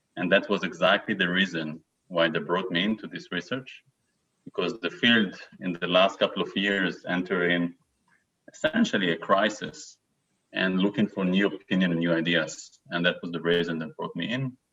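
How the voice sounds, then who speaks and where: Speaking with an Israeli accent, a man has a very deep, low voice. His pace is moderate and his pitch variation ordinary. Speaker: neuroscientist. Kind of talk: lecture. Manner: halting.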